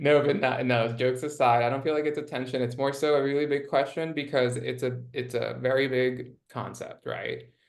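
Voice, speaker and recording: Audible room echo surrounds a man of medium pitch who speaks in a monotone, flat way at a moderate pace with hardly any pauses. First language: not English. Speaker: nonprofit impact strategist. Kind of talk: interview conversation. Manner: many filler words.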